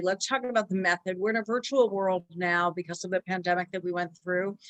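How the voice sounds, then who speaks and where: The sound is dry and close, with no echo. A woman speaks at a medium pitch and a fairly quick pace. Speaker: interviewer, financial advisor. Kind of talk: interview. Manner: fast.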